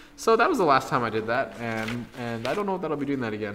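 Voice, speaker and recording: The speaker talks at a very fast pace with a slight Canadian accent. The intonation is lively. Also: man. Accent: light Canadian. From Canada. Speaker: tournament commentator. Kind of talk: live commentary. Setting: game store live stream.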